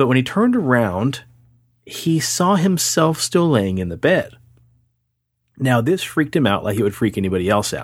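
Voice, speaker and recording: A man's medium-pitched voice with very wide pitch swings, a moderate pace and long, frequent pauses, on a very clean recording with a silent background. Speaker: paranormal podcast host. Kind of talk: casual chat. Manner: slight tongue-tie, stumbles on sibilants.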